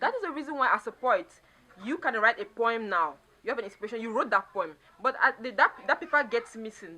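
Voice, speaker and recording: Lively intonation runs through speech delivered at a fairly quick pace. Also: woman. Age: 20s. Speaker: spoken word poet. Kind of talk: interview answer.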